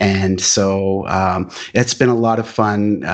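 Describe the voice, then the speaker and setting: An ordinary speaking voice, a man's, fairly low in pitch and fairly even in intonation. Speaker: marketing manager. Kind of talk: podcast interview. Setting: video call.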